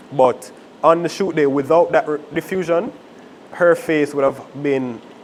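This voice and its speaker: There is noticeable background noise. Over it, a man with a fairly high pitch talks at a fairly slow pace. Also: ordinary pitch variation. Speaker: videography workshop instructor. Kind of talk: workshop lecture. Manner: too quiet for the room; casual, with fillers and self-corrections.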